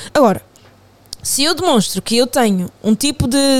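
A woman with a high-pitched voice. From Portugal, of Angolan family. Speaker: podcast guest. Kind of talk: casual chat.

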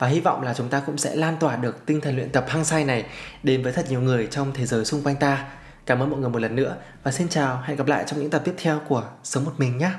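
The voice is somewhat breathy, with fairly even intonation and a very fast pace. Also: man, fairly high pitch for a man. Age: 30s. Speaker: podcast host. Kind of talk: solo podcast monologue.

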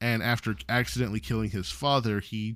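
In a normal speaking voice, a man talks at a moderate pace with a medium pitch, on a very clean recording with a silent background. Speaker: podcast co-host. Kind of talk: casual chat.

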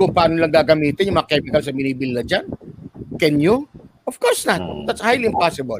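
Animated in tone, a man with a fairly high pitch talks at a moderate pace with lively intonation. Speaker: physician. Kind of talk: casual panel discussion.

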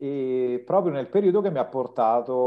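Lively intonation in a man's medium-pitched voice. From Lazio, province of Rome. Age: 40s. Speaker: writer and Italian teacher. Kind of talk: interview.

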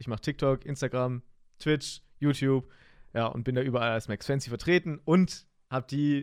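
The voice is an ordinary speaking voice with fairly even intonation. The recording is very clean with a silent background and a dry, close sound with no echo. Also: man. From Germany, Heidenheim (Swabia). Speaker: podcast host, streamer. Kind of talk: casual chat. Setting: home streaming room.

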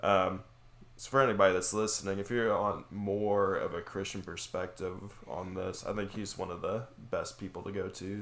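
At a moderate pace, a man talks in an ordinary speaking voice, fairly low in pitch, with fairly even intonation. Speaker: podcast host. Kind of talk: discussion of theology, casual chat.

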